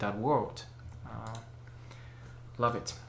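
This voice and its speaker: Speaking at a fairly slow pace with a non-native accent, a man uses a medium pitch and vocal fry, with audible room echo around him. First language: not English. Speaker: photography and camera YouTuber. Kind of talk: casual book review vlog. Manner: hesitant, many fillers.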